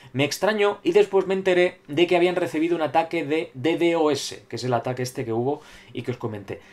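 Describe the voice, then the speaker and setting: A man speaks at a moderate pace with lively intonation. It is a plain, everyday voice. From Spain. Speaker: gaming YouTuber. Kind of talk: solo video commentary reading viewer comments. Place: home room. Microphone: webcam.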